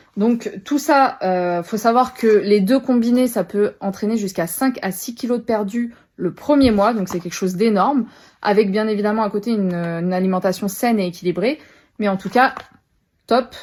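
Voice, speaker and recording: A woman's fairly high voice at a moderate pace, ordinary pitch variation, on a very clean recording with a silent background. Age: 20s. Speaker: product seller, new mother. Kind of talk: product presentation sales pitch. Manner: casual with frequent hesitations.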